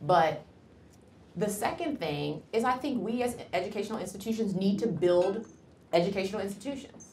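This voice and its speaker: A somewhat breathy woman with an American accent speaks at a moderate pace and medium pitch, with lively intonation, audible room echo and light background noise. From Cleveland, Ohio, US; Ohio. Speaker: physician; guest. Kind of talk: lecture. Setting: lecture hall with audience. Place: classroom. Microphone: lapel.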